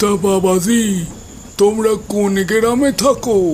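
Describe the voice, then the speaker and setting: A cartoonish character voice at a fairly high pitch, with clear background noise. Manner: quiet, ominous.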